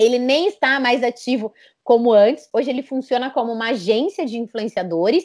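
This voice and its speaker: A woman speaks at a fairly quick pace in a high voice with lively intonation, recorded very cleanly against a silent background. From Brazil, São Paulo. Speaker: entrepreneur, communications agency founder. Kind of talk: interview.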